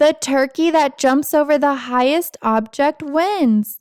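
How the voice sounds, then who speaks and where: A woman puts on a character voice. She pitches it high. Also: fairly slow pace. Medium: read story. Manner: loud, announcing.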